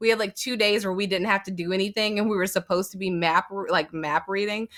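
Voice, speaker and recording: Fairly quick and animated, a woman talks with ordinary pitch variation. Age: 30s. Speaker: geek content creator. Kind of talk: casual chat.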